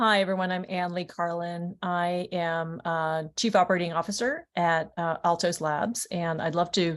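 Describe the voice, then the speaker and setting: A woman speaks in a plain, everyday voice with an American accent. Her pitch is fairly low and her pace fairly slow. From New Orleans then California. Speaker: biotech executive. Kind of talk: panel introduction. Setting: webinar video call.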